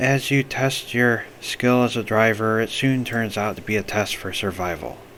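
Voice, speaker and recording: The man's pitch is medium and his pace moderate. Noticeable noise runs in the background. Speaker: amateur narrator. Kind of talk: read story.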